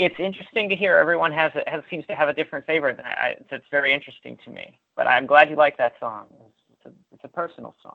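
Loudness swings widely as the speaker races along at a very fast pace in an American accent. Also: man. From Pittsburgh, Pennsylvania. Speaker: YouTuber and musician. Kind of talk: casual interview chat. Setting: phone call. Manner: halting, repeats words.

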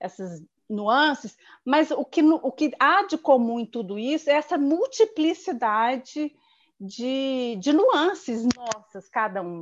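Against a quiet background, a woman speaks very slowly in a high pitch, her voice swinging very widely up and down. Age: 50s. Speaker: civil servant. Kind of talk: casual chat.

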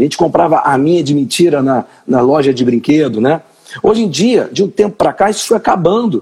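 A man with a fairly high pitch and a dark, mellow tone speaks at a fairly quick pace. His intonation is lively, and his loudness stays very even. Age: 40s. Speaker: podcast host. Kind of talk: live-stream interview.

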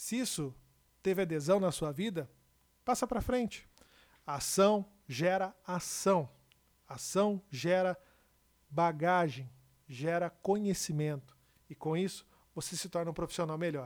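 A high-pitched man at a fairly slow pace, with long, frequent pauses and ordinary pitch variation, on a very clean recording with a silent background. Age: 30s. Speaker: podcast host and TV/radio broadcaster. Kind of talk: motivational monologue.

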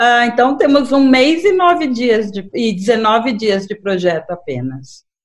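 Speaking at a fairly slow pace, the woman has a high pitch. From Brazil, São Paulo (born in Fortaleza). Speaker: human rights activist, project coordinator. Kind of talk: radio interview.

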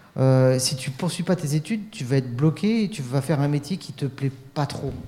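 Background noise is noticeable throughout. The delivery moves at a moderate pace, its pitch varying in an ordinary way. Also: man. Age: 40s. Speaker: youth radio workshop leader. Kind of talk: casual chat.

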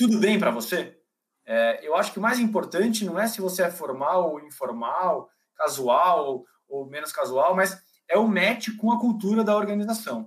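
At a moderate pace, a man with a high pitch speaks with very wide pitch swings. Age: 30s. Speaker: executive headhunter. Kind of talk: casual interview. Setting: live video call.

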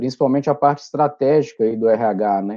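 The speaker is a man. He keeps a moderate pace. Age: 30s. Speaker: management consultant. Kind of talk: casual interview. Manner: halting, repeats words.

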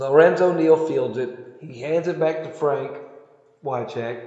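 A man with a Southern US accent at a fairly slow pace, with audible room echo. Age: 40s. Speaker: podcaster. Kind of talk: casual monologue. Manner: rambling, halting.

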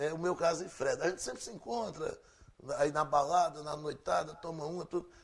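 A man with high pitch, fairly even intonation and a fairly quick pace. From Pernambuco, Brazil. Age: 50s. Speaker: radio presenter and musician. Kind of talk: interview.

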